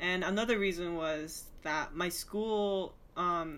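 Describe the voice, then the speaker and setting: A woman in a Japanese accent, fairly low in pitch with ordinary variation, at a very slow pace, amid audible room echo. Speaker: film student. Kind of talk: casual chat.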